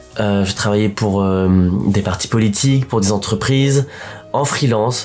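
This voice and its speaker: Fairly low in pitch, a man talks at a fairly slow pace with very even loudness and ordinary pitch variation. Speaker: actor and vlogger. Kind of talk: casual vlog talk. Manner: hesitant, many fillers.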